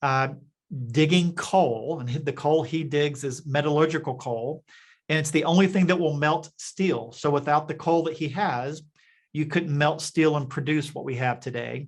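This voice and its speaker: A man's fairly high, somewhat breathy voice with fairly even intonation over a quiet background. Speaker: business leader, company executive. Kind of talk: podcast interview. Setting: radio studio. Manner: conversational with frequent fillers and restarts.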